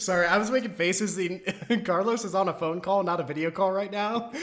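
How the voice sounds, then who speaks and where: A man's high-pitched voice with ordinary pitch variation and noticeable background noise. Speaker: podcast co-host. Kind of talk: casual chat.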